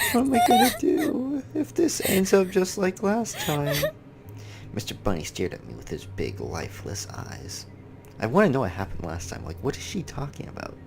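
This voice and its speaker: A soft-spoken man talks at a moderate pace. Music plays in the background. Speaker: gaming YouTuber. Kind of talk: reading aloud.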